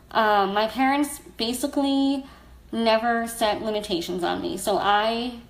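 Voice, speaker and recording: A woman at a fairly slow pace, with fairly high pitch, lively intonation and audible room echo. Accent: American. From US, South Florida. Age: 30s. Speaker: blogger and storyteller. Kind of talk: personal testimony on a livestream. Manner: casual, frequent fillers.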